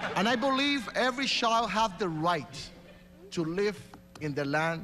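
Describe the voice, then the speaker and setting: In a room with audible echo, a man speaks at a fairly slow pace in an animated tone, his pitch swinging very widely. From Puerto Rico. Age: 40s. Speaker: mayoral candidate. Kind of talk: political debate. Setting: stage with audience.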